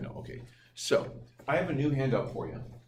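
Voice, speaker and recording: A man talks at a medium pitch. Audible room echo and noticeable background noise surround him. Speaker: teacher. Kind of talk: lecture. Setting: classroom. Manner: loud. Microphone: no mic, recorded from room.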